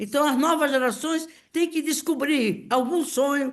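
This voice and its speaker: Her voice sits high, and this woman's pitch varies in an ordinary way. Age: 80s+. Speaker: political activist. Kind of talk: speech at political meeting. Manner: impassioned; halting.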